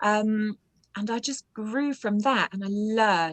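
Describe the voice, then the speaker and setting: A woman with a British accent at a medium pitch, with ordinary pitch variation and a fairly slow pace, in a dry, close sound with no echo. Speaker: audiobook narrator. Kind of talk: interview.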